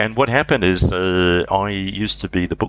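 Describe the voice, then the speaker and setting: A man speaks at a very deep, low pitch with vocal fry. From England, Leicestershire family. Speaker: leadership professor. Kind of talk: interview. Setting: remote call.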